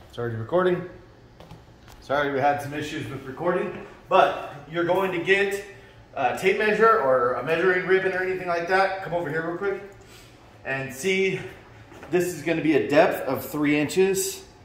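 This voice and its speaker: A man speaks at a high pitch, with long, frequent pauses and big swings in loudness. Room echo is audible. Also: ordinary pitch variation, moderate pace. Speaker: fitness equipment seller. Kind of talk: tutorial. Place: gym. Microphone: phone near.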